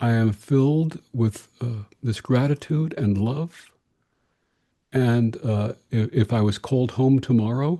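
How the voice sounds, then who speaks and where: A man's medium-pitched voice, dark and mellow in tone, at a very slow pace. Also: ordinary pitch variation. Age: 70s. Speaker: interfaith minister. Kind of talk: interview.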